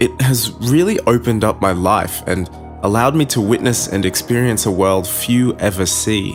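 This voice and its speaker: Music plays in the background as a man of medium pitch talks at a moderate pace, with ordinary pitch variation and very even loudness. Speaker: horror story narrator. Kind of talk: horror story reading.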